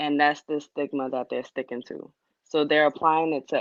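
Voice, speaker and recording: Soft-spoken, a woman talks at a moderate pace in a very deep, low pitch. Her intonation is monotone and flat. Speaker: guest in dating discussion. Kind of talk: casual chat.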